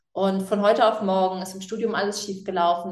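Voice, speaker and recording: Audible room echo colors the recording. A woman speaks at a medium pitch. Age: 20s. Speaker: animal welfare activist and author. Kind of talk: casual interview.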